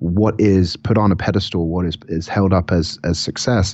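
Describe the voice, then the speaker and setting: This is a man with a very deep, low voice. His pitch varies in an ordinary way. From England, Southampton. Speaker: podcast guest. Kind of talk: casual interview.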